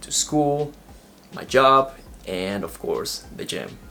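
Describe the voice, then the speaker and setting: Music plays in the background as a man speaks with an Ecuadorian accent. His pace is very slow and his intonation lively. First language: Spanish. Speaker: vlogger. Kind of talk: vlog monologue.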